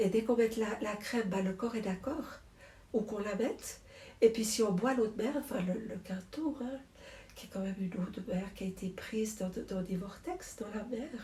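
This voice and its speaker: A woman with a plain, everyday voice, fairly high pitch, ordinary pitch variation and a moderate pace. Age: 60s. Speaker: druggist, shop owner. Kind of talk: interview.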